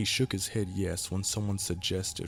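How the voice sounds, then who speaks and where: Even-ish intonation at a moderate pace, with music playing behind. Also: man. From Kentucky. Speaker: amateur narrator. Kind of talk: horror story narration.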